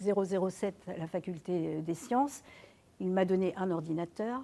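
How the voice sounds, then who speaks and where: Her tone dark and mellow, a woman speaks fairly slowly at medium pitch. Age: 70s. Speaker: retired university administrator. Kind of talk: testimony. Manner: hesitant, many filler words.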